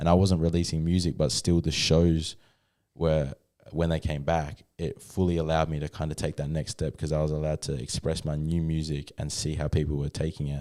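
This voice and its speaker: A man with an Australian accent speaks at a fairly quick pace in a very deep, low pitch with a dark, mellow tone. His intonation is monotone and flat, on a very clean recording with a silent background. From Australia, New South Wales then Western Australia. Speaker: hip-hop artist. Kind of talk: casual chat. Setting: studio.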